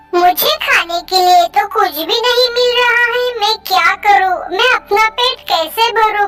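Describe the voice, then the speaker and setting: A cartoonish character voice, female-sounding and extremely high-pitched, fairly slow with hardly any pauses. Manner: pleading, sad.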